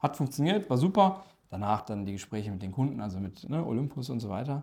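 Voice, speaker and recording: A man talks fairly quickly, his tone dark and mellow, his voice somewhat breathy and his intonation lively. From Ruhr area, Dortmund (Germany), Turkish family. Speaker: corporate strategy executive. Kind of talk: interview.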